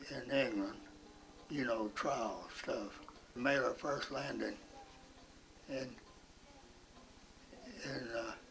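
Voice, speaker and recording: A man talks at a very slow pace with long, frequent pauses. Music plays in the background. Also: medium pitch for a man. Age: 80s+. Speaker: World War II veteran, Coast Guard. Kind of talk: interview answer. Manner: slow, halting storytelling.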